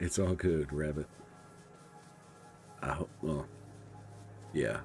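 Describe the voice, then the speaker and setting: With music in the background, a man mumbles at a very slow pace in a very deep, low pitch and fairly even intonation. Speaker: gaming streamer. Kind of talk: live gameplay commentary. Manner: mumbling.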